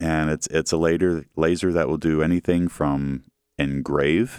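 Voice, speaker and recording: A man with a Midwestern American accent speaks at a very deep, low pitch with fairly even intonation, the sound dry and close with no echo. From Central Ohio, Grandview. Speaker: metalwork business executive. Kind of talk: interview.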